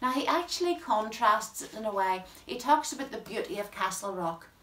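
A woman's voice with audible room echo. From Northern Ireland. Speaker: poetry presenter. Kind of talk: talk on a poet's life and work. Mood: warm, friendly. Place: home room. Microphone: camera far.

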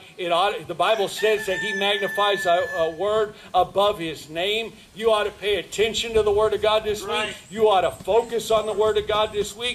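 Against noticeable background noise, a man talks at a moderate pace and high pitch, with monotone, flat intonation and hardly any pauses. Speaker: preacher. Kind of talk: sermon. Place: street. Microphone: podium.

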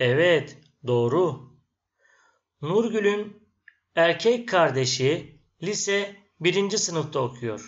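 Lively intonation marks this man's very slow delivery. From Turkey. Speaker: Turkish language teacher. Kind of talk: language lesson.

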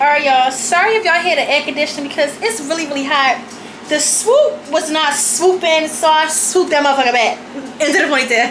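Noticeable background noise accompanies a woman with a high pitch, talking at a fairly quick pace with ordinary pitch variation. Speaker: vlogger. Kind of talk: casual vlog chat. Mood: cheerful, laughing. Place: home room. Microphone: phone near.

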